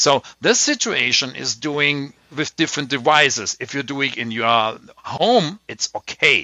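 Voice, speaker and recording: In a German accent, a man speaks with a fairly high pitch. His pace is fairly slow. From Germany. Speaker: tech podcast host. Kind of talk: casual chat.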